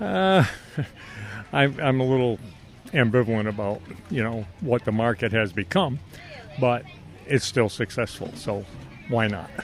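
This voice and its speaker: Lively intonation carries speech that moves at a fairly slow pace with long, frequent pauses, while music plays in the background. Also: man, medium pitch for a man. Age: 70s. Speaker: fruit farmer. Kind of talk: interview.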